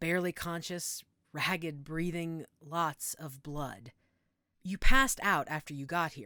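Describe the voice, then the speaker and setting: A woman puts on a raspy character voice, fairly low in pitch and with ordinary pitch variation. She goes at a fairly slow pace in a very clean recording with a silent background. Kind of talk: audio role play addressed to the listener. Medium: audio drama. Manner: gentle, reassuring.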